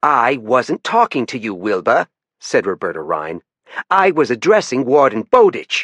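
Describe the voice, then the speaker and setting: Putting on a gruff character voice, a man speaks at a moderate pace and medium pitch with very wide pitch swings, the sound dry and close with no echo. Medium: read story. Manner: dry, no-nonsense.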